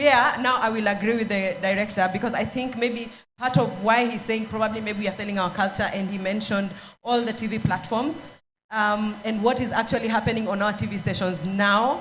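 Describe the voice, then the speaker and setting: With audible room echo, a woman talks at a fairly quick pace in a fairly high pitch and fairly even intonation. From Kenya. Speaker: panel moderator. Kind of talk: panel discussion. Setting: stage with audience. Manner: hesitant, many fillers.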